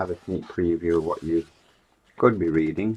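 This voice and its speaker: A man with an English accent and a very deep, low pitch speaks at a moderate pace with ordinary pitch variation over noticeable background noise. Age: 60s. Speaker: online seller. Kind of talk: casual commentary while flicking through magazines. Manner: casual, chatty.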